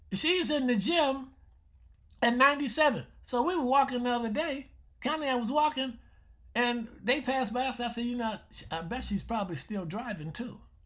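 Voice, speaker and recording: Extremely high-pitched male voice with lively intonation, a moderate pace and long, frequent pauses, against a quiet background. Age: 70s. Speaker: health show host, doctor. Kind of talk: radio health talk monologue. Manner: repetitive, conversational.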